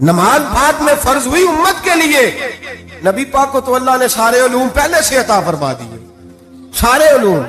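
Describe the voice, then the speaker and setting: Over noticeable background noise, a man speaks at an extremely high pitch with lively intonation. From Pakistan. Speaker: Islamic preacher giving a sermon. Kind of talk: religious sermon (bayan) in Urdu. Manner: emotional, storytelling, rhetorical questions to audience.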